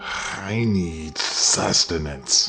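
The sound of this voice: A man does a put-on character voice that is raspy and very deep. Clear music plays in the background.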